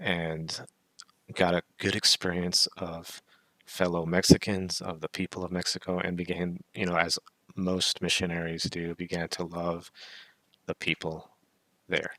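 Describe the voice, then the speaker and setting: With an American accent, the voice sounds bright and sharp, flat and monotone in intonation, broken by long, frequent pauses. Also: man, very deep, low pitch for a man. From US South, southern Alabama. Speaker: podcast host. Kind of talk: casual monologue, personal story. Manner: halting, with fillers and restarts.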